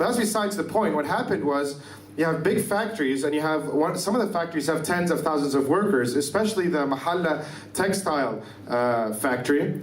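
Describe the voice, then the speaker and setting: Someone with an Arabic accent speaks at a fairly quick pace with lively intonation and very even loudness. Noticeable background noise and audible room echo are present. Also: man, fairly high pitch for a man. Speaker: activist. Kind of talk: lecture. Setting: conference stage with audience. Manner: fast.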